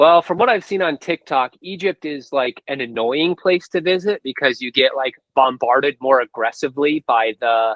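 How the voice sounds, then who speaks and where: A normal speaking voice from a man with an American accent and fairly high pitch, lively in intonation, at a moderate pace with hardly any pauses. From United States. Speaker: book reviewer and interview host. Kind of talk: casual interview.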